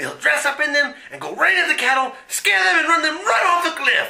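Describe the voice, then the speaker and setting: Putting on a character voice, a man speaks at an extremely high pitch and a moderate pace. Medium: audio drama. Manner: blustering, irritable.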